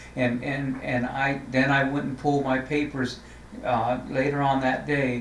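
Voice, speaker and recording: Amid noticeable background noise and audible room echo, a man at a medium pitch talks at a fairly slow pace in a monotone, flat way. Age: 60s. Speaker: city council member. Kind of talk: interview. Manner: halting, many repeated words.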